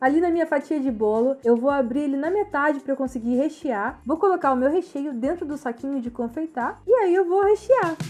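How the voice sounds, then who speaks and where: A woman talks at a fairly quick pace with lively intonation and a high pitch. Music plays in the background. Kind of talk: cooking tutorial narration. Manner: upbeat, playful.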